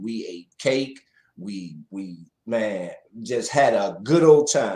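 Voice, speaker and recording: A man's dark, mellow voice at a fairly slow pace with big swings in loudness. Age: 60s. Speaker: DJ and live show host. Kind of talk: casual interview on a livestream. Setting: live stream.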